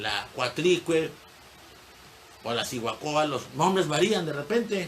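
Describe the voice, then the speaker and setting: Speaking at a very slow pace, a man uses a fairly high pitch and lively intonation. Noticeable background noise and audible room echo fill the recording. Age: 70s. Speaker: history teacher. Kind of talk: lecture. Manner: conversational, digressive.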